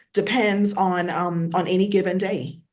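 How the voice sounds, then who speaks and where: In a Bahamian accent, a woman talks at a medium pitch. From Bahamas, Nassau. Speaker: academic in technology sector. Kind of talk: panel discussion. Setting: video call.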